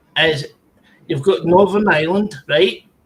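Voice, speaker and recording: A man with a Scottish accent speaks at a high pitch. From Scotland.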